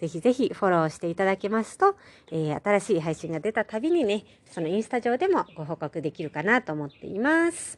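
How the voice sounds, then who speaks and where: A woman speaks at a fairly quick pace and medium pitch, her voice making very wide pitch swings and big swings in loudness against a quiet background. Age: 30s. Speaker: podcast host. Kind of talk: solo podcast monologue. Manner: casual, with many fillers.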